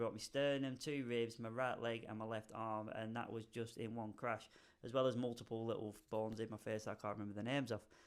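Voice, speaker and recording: With a British accent, a man talks at a fairly quick pace in a monotone, flat delivery. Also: medium pitch for a man. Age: 30s. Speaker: hairdresser. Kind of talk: casual talk to camera.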